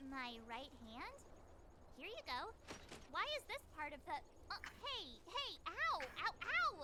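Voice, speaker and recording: A put-on character voice at extremely high pitch, fairly slow with long, frequent pauses, over loud background noise. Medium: game stream. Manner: lively, blunt.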